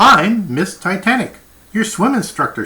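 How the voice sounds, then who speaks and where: A man's high-pitched, put-on character voice with lively intonation at a moderate pace. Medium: read story. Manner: encouraging, patient.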